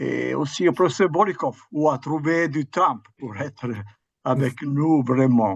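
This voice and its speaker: A man in an Italian accent, very slow, fairly high in pitch, with ordinary pitch variation and a quiet background. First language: Italian (speaking French). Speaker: history professor. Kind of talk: academic lecture. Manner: halting, with hesitations.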